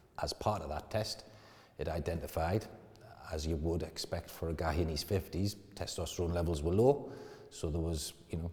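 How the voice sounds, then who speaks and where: A man with a very deep, low pitch speaks at a moderate pace, broken by long, frequent pauses. His tone is dark, mellow and somewhat breathy, with ordinary pitch variation. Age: 50s. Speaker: client testimonial, company director. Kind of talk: testimony. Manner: casual, slightly halting.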